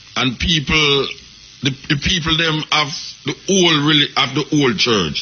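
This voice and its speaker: This speaker has a Jamaican accent and a fairly slow pace, with ordinary pitch variation. The loudness stays very even, and there is noticeable background noise. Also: man, fairly high pitch for a man. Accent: Jamaican patois-inflected English. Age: old. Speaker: radio host. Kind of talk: interview. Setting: studio.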